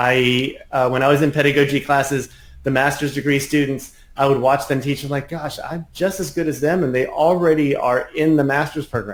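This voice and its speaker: A plain, everyday voice from a man, fairly high in pitch, with fairly even intonation at a fairly quick pace. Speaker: piano teacher. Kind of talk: interview.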